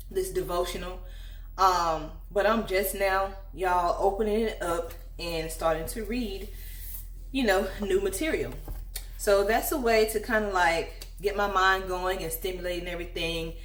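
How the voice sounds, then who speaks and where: A woman speaks at a moderate pace. Audible room echo can be heard. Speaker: lifestyle vlogger. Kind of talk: casual chat. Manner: relaxed, conversational.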